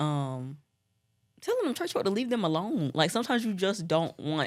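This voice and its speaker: A woman with an American accent and lively intonation, talking fairly quickly on a very clean recording with a silent background. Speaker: pastor's daughter. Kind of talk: casual chat.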